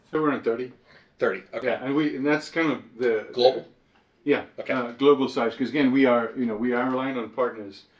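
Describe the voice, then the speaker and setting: Audible room echo surrounds a man who talks at a very fast pace at a medium pitch with fairly even intonation. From Israel. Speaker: manufacturing software services executive. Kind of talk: casual conversation. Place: meeting room. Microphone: camera far.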